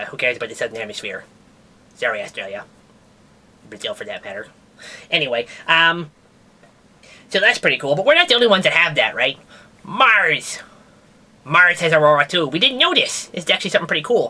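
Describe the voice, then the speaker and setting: A cartoonish character voice at middle pitch races along at a very fast pace, broken by long, frequent pauses. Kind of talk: comedic puppet science news. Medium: puppet. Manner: casual, rambling.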